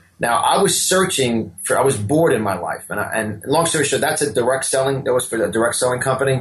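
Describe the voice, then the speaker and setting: Talking at a very fast pace, a man with a strong New York accent uses lively intonation at a medium pitch. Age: 50s. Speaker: motivational speaker and business coach. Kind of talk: interview. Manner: repetitive false starts.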